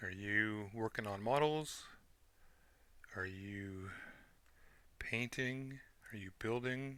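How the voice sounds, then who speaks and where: A quiet male voice with a bright, sharp tone. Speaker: model kit builder. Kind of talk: tutorial. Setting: at his desk. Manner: quiet muttering to himself; louder for key points.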